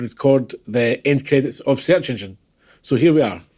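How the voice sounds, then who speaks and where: A man's dark, mellow voice at a medium pitch, moderate pace and ordinary pitch variation, on a very clean recording with a silent background. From Scotland, Glasgow. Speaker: podcast listener. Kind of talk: scripted narration.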